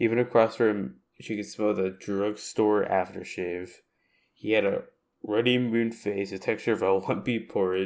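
Fairly even intonation in a natural reading voice, quiet background behind it.

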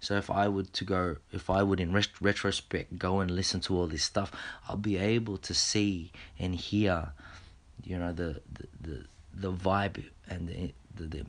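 Speaking with an Australian accent, a man has a very deep, low pitch. He talks at a fairly slow pace with fairly even intonation. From Australia, Filipino heritage. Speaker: podcast host. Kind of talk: casual monologue; reading aloud. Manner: halting, many repetitions and fillers.

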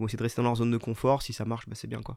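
The recording of this man is very clean with a silent background, and the sound is dry and close with no echo. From Vosges, eastern France. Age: 30s. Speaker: amateur ultra-trail runner, firefighter. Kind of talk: casual interview chat. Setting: studio. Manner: fast.

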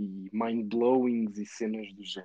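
Here a man speaks at a fairly slow pace. His pitch is medium. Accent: European Portuguese. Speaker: gaming podcast host. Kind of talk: casual chat. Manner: animated.

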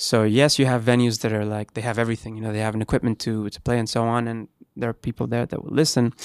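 Very fast and monotone, a man talks at a medium pitch with flat intonation. The recording is very clean with a silent background, and the sound is dry and close with no echo. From Canary Islands, Spain. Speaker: musician. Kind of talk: casual chat. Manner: halting, many fillers.

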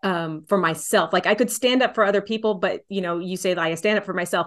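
In a Texan accent, a woman talks with fairly even intonation against a quiet background. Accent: Texan American English. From Texas, San Antonio. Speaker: folk singer-songwriter. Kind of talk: casual interview.

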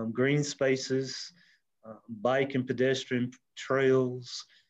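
In a South Carolina accent, a man speaks at a very slow pace with a medium pitch. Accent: Southern US (South Carolina). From US South, upstate South Carolina (Anderson). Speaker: mayor and insurance agent. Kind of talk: interview. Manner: halting, many fillers.

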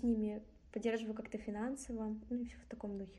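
A woman with a plain, everyday voice, fairly high in pitch, fairly quick, and fairly even in intonation. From Kazakhstan. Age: 20s. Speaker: student. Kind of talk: casual chat. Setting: remote call.

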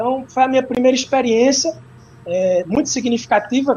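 A moderate pace with lively intonation. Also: man. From Brazilian Northeast, interior of Pernambuco. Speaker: professor and capoeira practitioner. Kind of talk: lecture.

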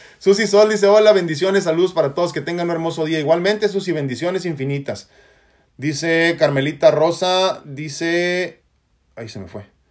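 In a very clean recording with a silent background, a man talks at a moderate pace with a high pitch, ordinary pitch variation and big swings in loudness. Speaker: spiritual life coach. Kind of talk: live stream talk.

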